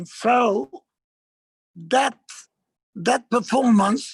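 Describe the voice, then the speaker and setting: A man with an Italian accent speaks very slowly at an extremely high pitch, recorded dry and close with no echo. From Italy, Milan. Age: 70s. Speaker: actor and performer. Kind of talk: lecture. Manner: halting.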